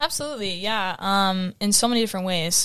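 On a very clean recording with a silent background, a woman with an unremarkable speaking voice talks at a moderate pace, at medium pitch with ordinary pitch variation. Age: 20s. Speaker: young adult panel guest. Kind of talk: panel discussion.

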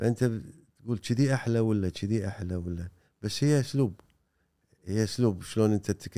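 This man has a fairly low pitch and a dark, mellow tone. His speech has long, frequent pauses. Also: ordinary pitch variation, moderate pace. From Kuwait. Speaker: poet and songwriter. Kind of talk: casual interview chat.

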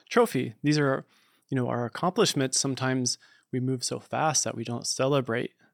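In a plain, everyday voice of medium pitch, a man talks at a fairly quick pace with fairly even intonation, on a very clean recording with a silent background. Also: dry, close sound with no echo. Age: 40s. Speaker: producer and filmmaker. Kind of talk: casual chat. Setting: studio.

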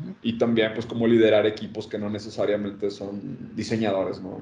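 A man speaks in a dark, mellow tone at medium pitch. His intonation is fairly even, with audible room echo. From Mexico, Monterrey. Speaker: design consultant. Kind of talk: casual chat.

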